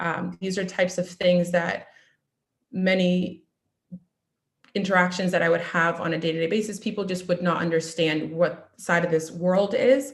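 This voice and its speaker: A woman talks at a moderate pace in a fairly low pitch. Her voice is somewhat breathy, with fairly even intonation. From US Northeast, Needham, Massachusetts. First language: Russian. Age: 20s. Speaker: nurse. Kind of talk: talk to an online audience. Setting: video call. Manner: halting, many ums.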